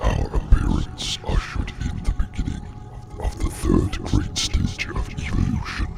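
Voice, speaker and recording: A man performs a put-on character voice at a moderate pace. Noticeable background noise runs underneath. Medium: audio drama. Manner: slow, philosophical, condescending.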